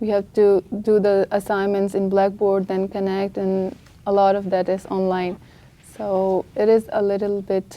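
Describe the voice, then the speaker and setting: In a dark, mellow tone, a woman with a non-native accent speaks at a fairly slow pace, her medium pitch monotone and flat. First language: not English. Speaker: international student. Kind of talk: press conference answers.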